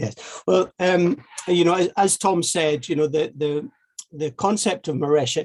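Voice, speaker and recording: A man talks at a moderate pace with a strong Scottish accent and ordinary pitch variation. His voice is somewhat breathy. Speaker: heritage network initiator. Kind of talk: seminar presentation. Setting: online video seminar. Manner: halting, many fillers and repetitions.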